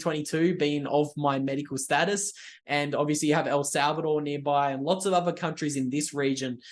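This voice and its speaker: Against a quiet background, a man with an Australian accent rattles along at a very fast pace with hardly any pauses, his fairly high voice keeping a fairly even intonation. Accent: Australian, broad. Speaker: writer and YouTuber, bitcoin commentator. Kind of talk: podcast interview.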